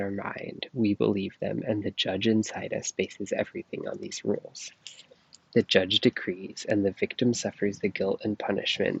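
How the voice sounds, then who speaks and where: A soft-spoken man at a moderate pace. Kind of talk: ASMR book reading. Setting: outdoors, recorded on earbuds.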